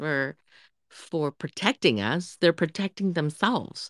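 On a very clean recording with a silent background and a dry, close sound with no echo, a woman with an unremarkable speaking voice and a fairly low pitch speaks with lively intonation. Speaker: podcast co-host. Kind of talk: casual chat.

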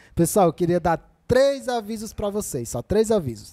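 A man speaks at a moderate pace in a high voice with a dark, mellow tone. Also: dry, close sound with no echo. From Ceará, Brazil (Quixadá). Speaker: podcast host. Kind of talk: live podcast interview.

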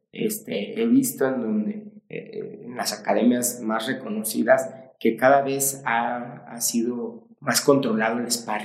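Amid audible room echo, a man with a medium-pitched voice speaks at a very slow pace. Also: ordinary pitch variation. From Mexico. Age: 40s. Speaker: martial arts coach. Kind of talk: casual interview chat.

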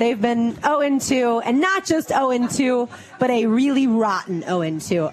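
The pitch swings very widely. There is noticeable background noise. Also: woman. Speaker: radio host. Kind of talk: casual radio chat. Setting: live remote event with audience.

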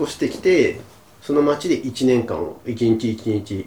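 A man speaks at a fairly slow pace, his pitch in the medium range. It is an unremarkable speaking voice. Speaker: podcast co-host, office worker. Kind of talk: casual chat.

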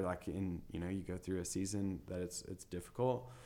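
Very deep and low, this man's voice varies in pitch in an ordinary way. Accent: West Texas. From West Texas, small town near Lubbock. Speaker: realtor and business owner. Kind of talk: interview.

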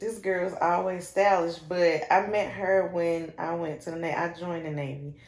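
At a fairly slow pace, a woman speaks with a North Carolina accent. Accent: Southern US (North Carolina). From Shelby, North Carolina. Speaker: business owner, shoe boutique founder. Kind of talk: casual interview chat.

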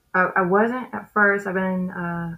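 A woman speaks in a Southern US accent at a moderate pace. Her pitch variation is ordinary. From US South, West Memphis, Arkansas. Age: 30s. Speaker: comedian. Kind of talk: casual interview. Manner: animated.

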